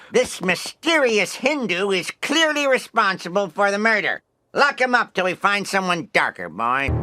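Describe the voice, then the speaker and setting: In a cartoonish character voice, the speaker projects loudly at a moderate pace with very wide pitch swings. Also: man, high pitch for a man. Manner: sloppy, self-satisfied.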